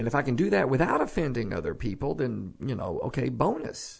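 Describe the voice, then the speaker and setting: Speaking fairly quickly in a Texan accent, a man with a medium-pitched voice makes very wide pitch swings. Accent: Texas Southern US. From Texas. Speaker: preacher. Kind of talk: casual chat.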